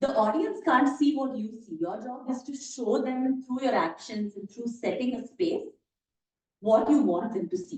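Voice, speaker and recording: A woman's high voice at a moderate pace, with very wide pitch swings. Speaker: dance workshop facilitator. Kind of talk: online workshop instruction; guided visualization story. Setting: video call. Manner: soft-spoken. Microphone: too quiet, unstable internet.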